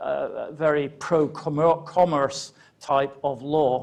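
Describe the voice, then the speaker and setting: A man speaks with an English accent. His pitch is fairly high. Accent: sounds English despite being Scottish. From Scotland, Edinburgh. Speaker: law lecturer and barrister. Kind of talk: lecture. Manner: halting, many fillers and repetitions.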